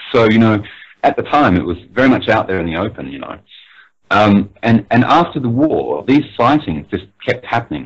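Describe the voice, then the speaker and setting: A man with a medium-pitched voice and vocal fry talks at a moderate pace, making very wide pitch swings. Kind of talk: interview answer, explaining UFO history.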